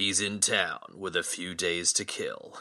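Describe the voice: A man uses a put-on character voice with a dramatic tone, speaking at a fairly slow pace.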